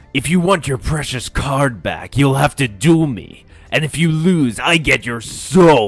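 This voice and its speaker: A put-on character voice at a low-to-middle pitch moves at a fairly slow pace. Faint music plays in the background. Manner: arrogant, threatening.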